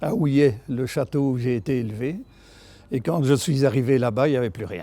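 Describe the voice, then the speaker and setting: A man's fairly high voice with lively intonation. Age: 70s. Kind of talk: interview answer.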